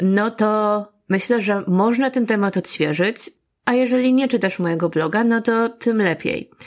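A woman uses a normal speaking voice at a fairly high pitch and a fairly slow pace, with ordinary pitch variation and very even loudness. The recording is very clean, with a silent background. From Poland, Gdańsk. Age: 30s. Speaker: podcast host. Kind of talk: personal monologue.

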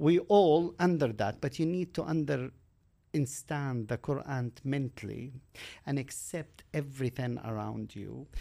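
A man with an Arabic accent speaks at a fairly slow pace in a fairly high pitch, with ordinary pitch variation. His tone is dark and mellow, and the recording is very clean with a silent background. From Kuwait, Palestinian refugee camp. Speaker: mountain climber. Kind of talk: interview.

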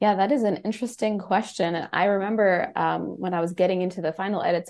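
Over a quiet background, a woman speaks at medium pitch and a fairly quick pace in an unremarkable speaking voice. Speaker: science reporter. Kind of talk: radio interview.

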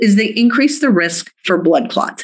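Her normal speaking voice sits at a medium pitch, and the woman talks at a moderate pace with lively intonation. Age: 50s. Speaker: medical doctor. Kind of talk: interview.

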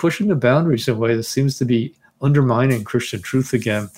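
The recording is very clean, with a silent background. A man with an American accent talks in a plain, everyday voice at a medium pitch with ordinary pitch variation. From US Northeast (Teaneck, New Jersey). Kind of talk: interview.

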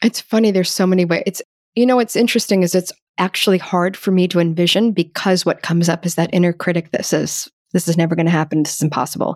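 A woman's fairly low voice at a very fast pace, with ordinary pitch variation and a dry, close sound with no echo. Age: 50s. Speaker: screenwriter and author. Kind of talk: interview conversation.

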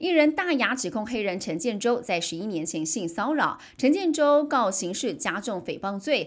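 A woman with a Taiwanese accent, fairly high pitch and very wide pitch swings, at a fairly slow pace, on a very clean recording with a silent background. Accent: Taiwanese Mandarin. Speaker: news anchor. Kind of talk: news reading. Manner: formal.

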